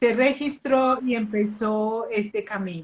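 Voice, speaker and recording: This woman's voice sits high. Its pitch moves in an ordinary way. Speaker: pendulum teacher and live host. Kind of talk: live online interview introduction. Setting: live video stream. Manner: conversational, with fillers.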